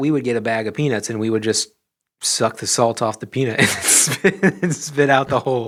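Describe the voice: Plain reading aloud, with ordinary pitch variation. The background is quiet.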